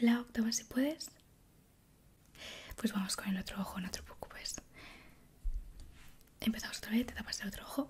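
With long, frequent pauses, a woman speaks at a moderate pace and fairly high pitch with ordinary pitch variation over light background noise. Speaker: ASMR creator. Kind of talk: ASMR roleplay, medical exam. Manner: soft-spoken, whispering. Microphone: studio mic.

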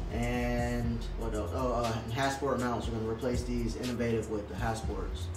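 A man talks at a moderate pace with audible room echo. Faint music plays in the background. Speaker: car mechanic channel host. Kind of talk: casual vlog chat. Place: workshop. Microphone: camera far.

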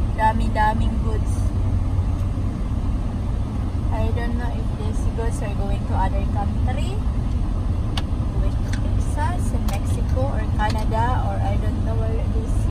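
A woman speaking at a very slow pace, dry with no echo, over loud background noise. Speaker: passenger vlogger in a truck. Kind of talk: casual vlog chat. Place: car. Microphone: phone near.

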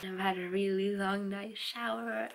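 A woman with vocal fry and a fairly bright tone speaks at a fairly slow pace and medium pitch, with faint background noise.

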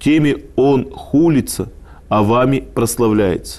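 Normally varying pitch in a man's dark, mellow tone. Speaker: lecturer on scripture. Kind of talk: lecture. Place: studio. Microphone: lapel.

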